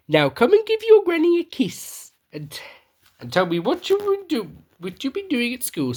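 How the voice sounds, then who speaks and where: Using a put-on character voice, a woman speaks at a moderate pace with a high pitch, very wide pitch swings and big swings in loudness. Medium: read story. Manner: haughty, put-upon.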